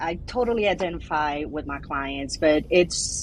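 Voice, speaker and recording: Noticeable background noise surrounds a woman as she talks. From Brazil. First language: Portuguese. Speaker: immigration attorney. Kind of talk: interview. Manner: halting.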